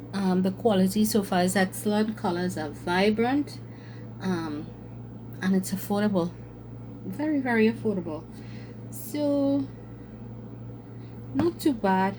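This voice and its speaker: A woman at a medium pitch, with very wide pitch swings, a fairly slow pace and long, frequent pauses. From Trinidad and Tobago. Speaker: craft content creator. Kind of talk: casual chat. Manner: hesitant with fillers.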